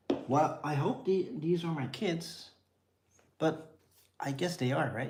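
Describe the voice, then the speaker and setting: With a Dutch accent, a man speaks very slowly at a fairly high pitch, his pitch varying an ordinary amount, in a space with audible room echo. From Netherlands, near Amsterdam. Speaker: vlogger, father. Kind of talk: casual live-stream chat. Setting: home, feeding kids on tripod.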